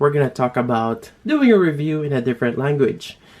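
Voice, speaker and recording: Noticeable background noise runs under this recording. A man with a Filipino accent talks at a very fast pace. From Philippines. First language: Tagalog. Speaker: toy reviewer. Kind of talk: casual vlog talk. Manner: halting, many fillers.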